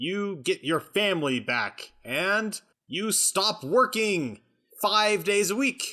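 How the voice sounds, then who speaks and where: Someone speaks loudly in a put-on character voice. The recording is very clean with a silent background. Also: man. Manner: loud, rallying.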